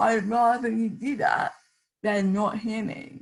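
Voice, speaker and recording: The voice carries vocal fry and moves at a very slow pace. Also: woman. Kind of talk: panel discussion.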